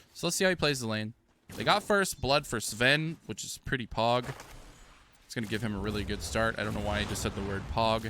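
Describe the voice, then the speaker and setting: With a bright, sharp tone and medium pitch, a man speaks at a fairly quick pace with lively intonation. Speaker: gaming video creator. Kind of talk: gameplay commentary. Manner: casual, conversational.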